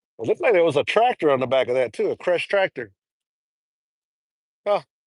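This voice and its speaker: Loud and high-pitched, a man talks at a very fast pace. His pitch swings very widely, and the sound is dry and close with no echo. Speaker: trucker vlogger. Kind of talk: casual live stream chat. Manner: loud, raised voice.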